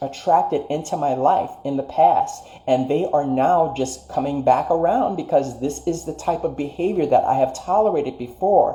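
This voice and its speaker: Fairly high in pitch, a man with an unremarkable speaking voice talks at a moderate pace with lively intonation. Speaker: spiritual life coach. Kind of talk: livestream motivational talk. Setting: live stream.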